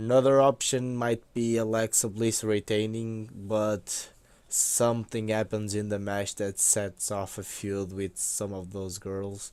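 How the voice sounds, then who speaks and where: In a very clean recording with a silent background, a man with a non-native accent speaks fairly slowly at a fairly low pitch, in a monotone, flat intonation. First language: not English. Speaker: wrestling YouTuber. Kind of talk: casual commentary vlog. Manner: hesitant, many fillers.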